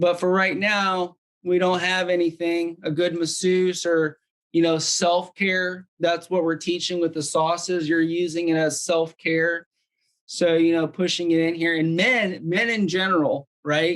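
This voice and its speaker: The man's voice is high for a man and delivered at a fairly slow pace. His intonation is monotone and flat, and his loudness stays very even. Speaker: wellness device demonstrator. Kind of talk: product demonstration. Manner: casual, filler-heavy.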